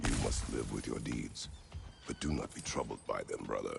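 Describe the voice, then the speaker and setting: Over loud background noise, a man performs a put-on character voice at a moderate pace. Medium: video game. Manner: terse, solemn.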